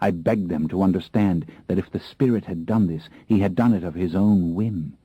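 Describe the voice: Someone reads aloud plainly. Ordinary variation shows in the pitch.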